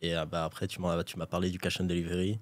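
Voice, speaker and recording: A man with a very deep, low pitch talks at a moderate pace on a very clean recording with a silent background. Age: 20s. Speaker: e-commerce entrepreneur. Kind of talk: interview. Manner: casual, hesitant with fillers.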